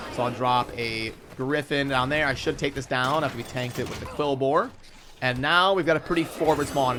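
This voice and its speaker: A man speaks at a fairly quick pace with a medium pitch. Noticeable background noise runs under his voice. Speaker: gaming content creator. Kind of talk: live gameplay commentary. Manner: fast.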